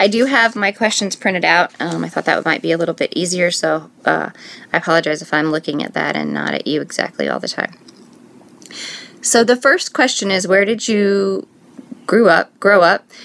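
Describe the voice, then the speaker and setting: Over noticeable background noise, a woman with an American accent speaks at a moderate pace. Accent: northern Indiana accent, noticed by others. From US Midwest, northern Indiana. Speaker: scrapbooking vlogger. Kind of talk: casual vlog chat. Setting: home, filming on iPad.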